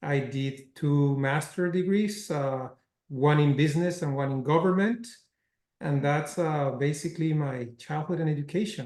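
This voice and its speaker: A man's fairly high voice with a slight Spanish accent, at a moderate pace and with ordinary pitch variation. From Mexico. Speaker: cinema chain executive. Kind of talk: interview.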